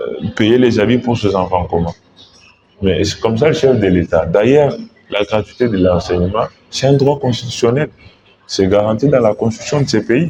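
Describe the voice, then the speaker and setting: A man at medium pitch, moderate pace and ordinary pitch variation, over noticeable background noise. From DR Congo, Mbuji-Mayi. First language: Tshiluba (speaking French). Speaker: political candidate, lawyer. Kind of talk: interview. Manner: formal.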